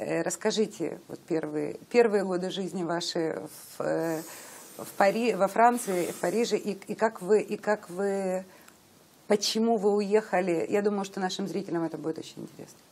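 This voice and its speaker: Medium-pitched woman's voice at a moderate pace, fairly even intonation, big swings in loudness. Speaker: interviewer. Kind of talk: interview. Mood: warm, interested. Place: home room. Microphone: lapel.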